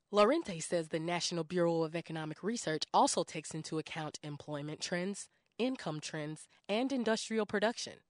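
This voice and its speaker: A woman with an ordinary speaking voice, fairly low pitch, lively intonation and a fairly quick pace, against a quiet background. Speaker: radio news reporter. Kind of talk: radio news report.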